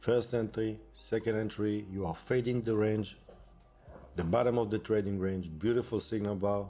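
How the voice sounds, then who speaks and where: A non-native accent over music in the background. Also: man. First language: not English. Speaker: day trader. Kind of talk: tutorial.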